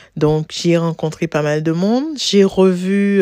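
Very slow and fairly even in intonation, the dark, mellow voice has a dry, close sound with no echo on a very clean recording with a silent background. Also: woman. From Martinique. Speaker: blogger and teacher. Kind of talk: interview. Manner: talkative.

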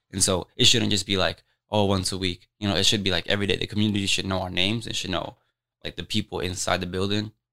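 Over a very clean, silent background, a man with an American accent speaks very fast with a very deep, low pitch and monotone, flat intonation. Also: dry, close sound with no echo. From Des Moines, Iowa, US Midwest. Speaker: community church member. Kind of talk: casual chat.

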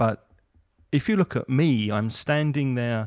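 Very slow speech in a southern English accent, with ordinary pitch variation, comes through a dry, close recording with no echo. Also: man. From southern England. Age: 50s. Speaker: English teacher and podcaster. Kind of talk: casual chat. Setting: video call.

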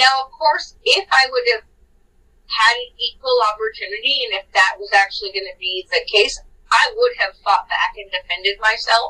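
A woman with a Californian accent at a moderate pace, with big swings in loudness. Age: 40s. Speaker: podcast co-host. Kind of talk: casual storytelling chat.

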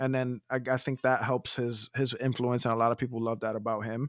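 In a very clean recording with a silent background, a man speaks at a fairly quick pace with a medium pitch. He has a normal speaking voice, and the sound is dry and close with no echo. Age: 20s. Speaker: sports podcast co-host. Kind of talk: casual chat.

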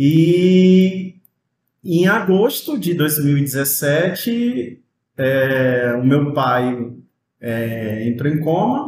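Somewhat breathy, at a very slow pace. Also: man, fairly high pitch for a man. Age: 30s. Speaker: music student. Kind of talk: casual interview chat.

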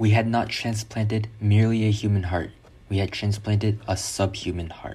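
A man's fairly low, monotone, flat voice at a moderate pace over noticeable background noise. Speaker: reader of quoted memoir and lecture. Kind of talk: reading aloud quotations.

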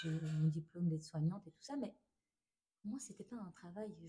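Her tone is dark and mellow, and her pitch sits in the medium range for a woman. She speaks with lively intonation and big swings in loudness. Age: 30s. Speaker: stay-at-home mother, trained care assistant. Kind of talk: testimony. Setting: restaurant during a brunch. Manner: quiet, hesitant.

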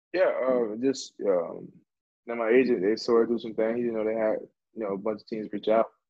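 A man with a normal speaking voice holds a medium pitch and fairly even intonation. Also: fairly quick pace. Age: 20s. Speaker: professional football running back. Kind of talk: casual interview.

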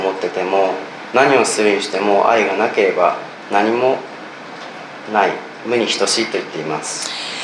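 Fairly low in pitch and fairly even in intonation, a man speaks over noticeable background noise with audible room echo. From Japan. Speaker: church member giving testimony. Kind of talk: testimony. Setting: church with audience.

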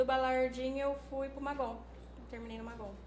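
A woman speaks at a fairly quick pace. Audible room echo and noticeable background noise are both present. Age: 30s. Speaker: nursing technician. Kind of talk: casual chat.

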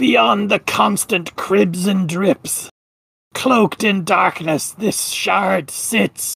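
A put-on character voice, female-sounding, raspy and hissing, at a middle pitch and a very slow pace

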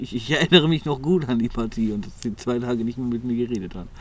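Speaking at a very fast pace, a man keeps to a medium pitch. His delivery rushes. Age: 20s. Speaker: podcast co-host. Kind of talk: casual chat.

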